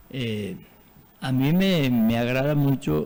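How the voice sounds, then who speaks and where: A man speaks in a dark, mellow tone. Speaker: veteran teacher. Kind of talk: TV interview. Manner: halting, many fillers.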